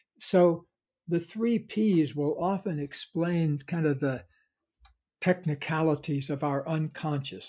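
A somewhat breathy man at a fairly high pitch and fairly slow pace, in a very clean recording with a silent background. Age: 70s. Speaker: psychologist and self-help author. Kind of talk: interview conversation.

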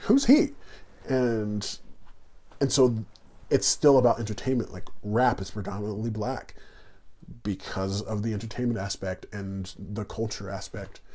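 A man with an American accent speaks at a fairly slow pace, with a fairly low pitch and a dark, mellow, somewhat breathy tone. His intonation is fairly even, and he takes long, frequent pauses. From New York City then Indiana. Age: 30s. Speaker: guest. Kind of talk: casual interview conversation.

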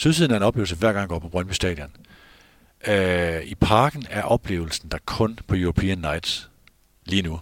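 The man has a very deep, low pitch. The recording is very clean and dry, close with no echo and a silent background. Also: ordinary pitch variation, moderate pace. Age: 50s. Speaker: football journalist and podcast host. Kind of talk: casual chat. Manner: halting.

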